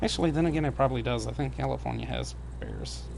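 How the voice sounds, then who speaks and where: Through audible room echo, a man with a slight Southern US accent talks at a fairly quick pace. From US South. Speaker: gaming streamer. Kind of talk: casual live stream chat. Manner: stumbles and jumbles words.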